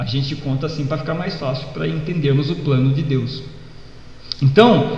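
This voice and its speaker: Speaking at a rather high pitch, a man is heard through clear background noise and audible room echo. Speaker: pastor. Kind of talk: sermon. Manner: hesitant fillers.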